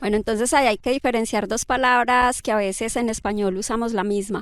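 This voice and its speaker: In a very clean recording with a silent background and a dry, close sound with no echo, a woman uses an ordinary speaking voice, fairly high in pitch with fairly even intonation. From Colombia. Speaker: climate scientist. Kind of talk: interview conversation. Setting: outdoors by a river.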